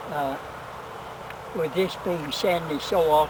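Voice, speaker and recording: A man with a fairly high pitch speaks at a very slow pace, his intonation fairly even. Noticeable background noise sits behind him. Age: 90s. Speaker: elderly gardener. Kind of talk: casual instructional answers to daughter's questions.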